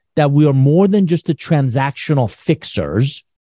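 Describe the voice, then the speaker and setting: This man's tone is dark and mellow, somewhat breathy. The sound is dry and close, with no echo. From Iran. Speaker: business author and consultant. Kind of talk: casual chat.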